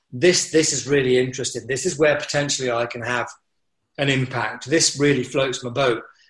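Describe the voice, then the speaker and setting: Somewhat breathy, a man speaks at a fairly quick pace with a medium pitch and fairly even intonation. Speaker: mountaineering instructor and business coach. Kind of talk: casual interview chat.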